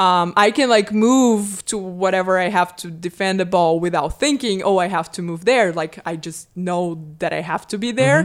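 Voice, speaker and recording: In a Portuguese accent, a woman talks with hardly any pauses and ordinary pitch variation, on a very clean recording with a silent background. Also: medium pitch for a woman, moderate pace. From Brazil. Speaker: sports psychology professor. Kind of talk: casual interview.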